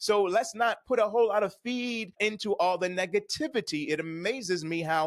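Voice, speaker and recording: A man's animated voice with ordinary pitch variation. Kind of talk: motivational faith-based teaching monologue. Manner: fast.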